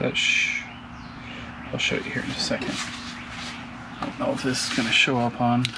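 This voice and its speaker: Quiet, mumbled speech at a fairly quick pace, broken by long, frequent pauses, with audible room echo and noticeable background noise. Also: man. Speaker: car hobbyist vlogger. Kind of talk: casual monologue while working. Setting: home garage. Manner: mumbling.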